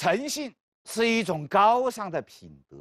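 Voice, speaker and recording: A man speaks at a very slow pace with very wide pitch swings. The sound is dry and close, with no echo. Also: quiet background. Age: 50s. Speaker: law professor. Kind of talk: lecture.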